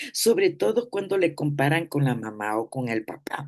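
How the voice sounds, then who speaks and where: Against a quiet background, a woman speaks at a very deep, low pitch. Her pitch swings very widely. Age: 80s+. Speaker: therapist. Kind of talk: talk.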